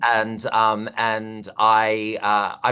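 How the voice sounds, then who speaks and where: Over a quiet background, a man with an Australian accent speaks at medium pitch in a bright, sharp tone. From Australia, Perth. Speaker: comedian and host. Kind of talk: casual interview chat.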